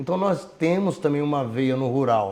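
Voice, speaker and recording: A man's dark, mellow voice with lively intonation. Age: 60s. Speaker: mayoral candidate. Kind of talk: interview.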